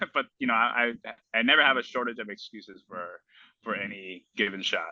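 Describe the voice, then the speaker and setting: Speaking at a fairly quick pace, a man with a Spanish accent uses a medium pitch. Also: ordinary pitch variation. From United States, Spanish-speaking immigrant family. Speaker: small business owner, golf accessory maker. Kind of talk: casual chat.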